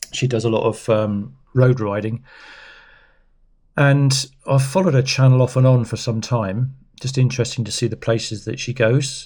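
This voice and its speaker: Recorded very cleanly against a silent background, a man speaks in a somewhat breathy voice. His intonation stays fairly even. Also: medium pitch for a man, moderate pace. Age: 60s. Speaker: cycling vlogger. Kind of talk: casual chat. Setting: indoors at home. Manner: rambling, hesitant.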